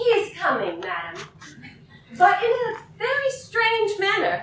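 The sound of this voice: In a put-on character voice, a woman speaks slowly at an extremely high pitch with very wide pitch swings and a fairly bright tone, all in strong room echo.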